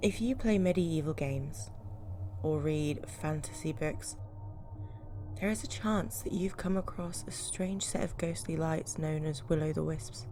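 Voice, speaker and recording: A woman's very deep, low voice at a fairly slow pace, with very wide pitch swings and music in the background. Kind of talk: folklore narration.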